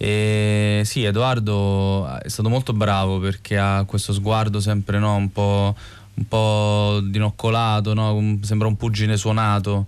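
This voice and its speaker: A man's fairly low, monotone, flat voice at a very slow pace, over a quiet background. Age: 30s. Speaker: film director. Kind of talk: interview.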